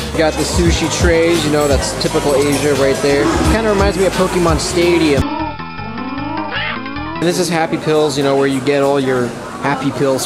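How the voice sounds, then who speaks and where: A man at a moderate pace over loud background music. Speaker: travel vlogger. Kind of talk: casual vlog chat. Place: hall. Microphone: phone near.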